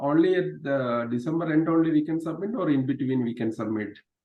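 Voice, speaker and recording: A man with a Kerala accent speaks at a moderate pace, his pitch fairly high. His intonation is lively. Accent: Malayali. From Kerala, India (Thrissur). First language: Malayalam. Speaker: meetup group coordinator. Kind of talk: casual chat. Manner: halting.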